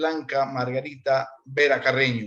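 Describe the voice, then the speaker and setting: Speaking at a very slow pace, a man holds a monotone, flat intonation at a fairly high pitch. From Ecuador, Portoviejo (Manabí coast). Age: 60s. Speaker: interviewee sharing life story. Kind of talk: conversational interview.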